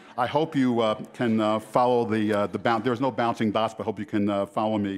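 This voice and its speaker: This man talks at a fairly quick pace with an American accent. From New York. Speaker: health care researcher and conference speaker. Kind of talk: conference keynote lecture. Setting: conference hall with audience of about 500. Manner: fast; hesitant, many fillers.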